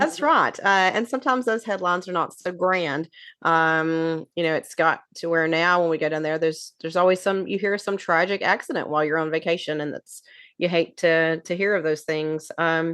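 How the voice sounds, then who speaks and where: A woman with a Southern US accent and a fairly low pitch speaks at a moderate pace with ordinary pitch variation over a quiet background. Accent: Southern twang. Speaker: podcast co-host. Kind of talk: casual chat.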